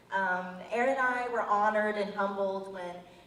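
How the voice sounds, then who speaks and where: Over noticeable background noise and audible room echo, a woman at medium pitch speaks at a moderate pace with fairly even intonation. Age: young. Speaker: college student and patient advocate. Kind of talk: public speech. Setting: event with audience, microphone.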